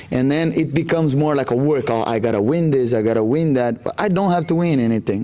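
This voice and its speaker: Very fast speech with a Brazilian accent, ordinary pitch variation, and noticeable background noise. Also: man. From Brazil, Rondônia. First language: Portuguese. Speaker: jiu-jitsu athlete. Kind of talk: interview. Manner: halting, many fillers.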